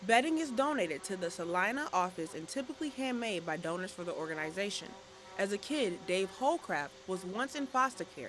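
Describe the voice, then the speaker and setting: With music in the background, a woman talks at a fairly quick pace with very wide pitch swings. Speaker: broadcast news reporter. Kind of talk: news package voiceover narration.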